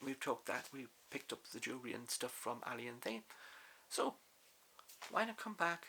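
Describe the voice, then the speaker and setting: A man with a bright, sharp tone speaks at a fairly quick pace and a medium pitch. His intonation is lively, broken by long, frequent pauses. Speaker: crossdressing vlogger. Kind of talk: casual vlog talk. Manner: loud; trying to sound feminine. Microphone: far from the mic.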